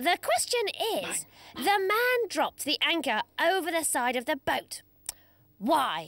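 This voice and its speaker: A cartoonish character voice, high-pitched, moves at a fairly slow pace with long, frequent pauses. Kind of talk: children's TV presenting. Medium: puppet show. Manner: enthusiastic, sing-song.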